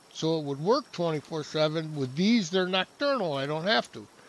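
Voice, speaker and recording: Noticeable background noise accompanies a man speaking at a fairly high pitch. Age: 70s. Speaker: game streamer. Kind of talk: gameplay commentary. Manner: halting.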